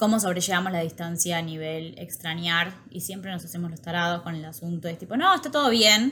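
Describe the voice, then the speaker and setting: With a Rioplatense accent, a woman with a fairly low pitch and a bright, sharp tone talks at a fairly quick pace with hardly any pauses, ordinary pitch variation and big swings in loudness. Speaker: podcast co-host. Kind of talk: casual chat.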